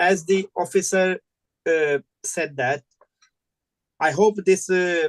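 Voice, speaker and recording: This speaker has a non-native accent and talks at a fairly slow pace. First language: not English. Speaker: licence applicant, shop owner. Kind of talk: hearing testimony.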